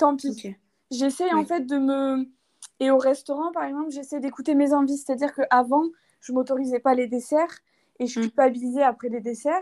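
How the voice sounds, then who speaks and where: A woman with a high pitch and a dark, mellow tone speaks with fairly even intonation. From France, Toulouse. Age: 20s. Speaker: fitness content creator. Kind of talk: casual interview.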